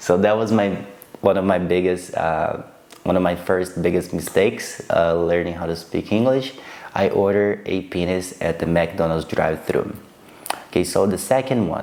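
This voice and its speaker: A man's very deep, low voice at a moderate pace, with ordinary pitch variation. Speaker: vlogger. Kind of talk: casual storytelling to camera. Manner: halting, with repetitions and fillers.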